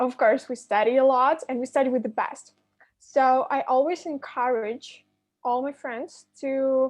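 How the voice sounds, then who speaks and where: Against a quiet background, a woman with a high voice speaks at a fairly slow pace using fairly even intonation. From Ukraine. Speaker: university student ambassador. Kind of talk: admission briefing presentation.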